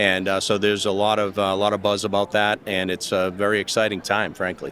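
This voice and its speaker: The voice is bright and sharp, delivered at a very fast pace with very even loudness and monotone, flat intonation. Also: man, fairly low pitch for a man. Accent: Boston. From US Northeast, Boston. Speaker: business executive. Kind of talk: panel discussion. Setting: conference, recorded live.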